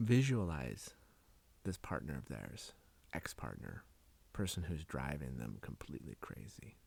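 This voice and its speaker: A man's very deep, low voice with vocal fry, very wide pitch swings, a fairly slow pace and long, frequent pauses. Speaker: hypnotherapist, hypnosis guide. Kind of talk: anecdote told to listener during hypnosis session. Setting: podcast recording.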